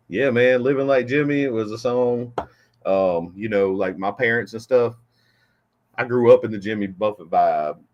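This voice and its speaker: A man with a Southern US accent at medium pitch and moderate pace, with ordinary pitch variation and big swings in loudness. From Florida. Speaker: rapper. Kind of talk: casual chat.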